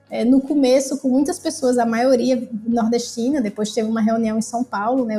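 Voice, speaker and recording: In a northeastern Brazilian accent, a woman speaks at a moderate pace with fairly even intonation. Her pitch is fairly high. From Brazil, Northeast. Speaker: activist and cook. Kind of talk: casual chat.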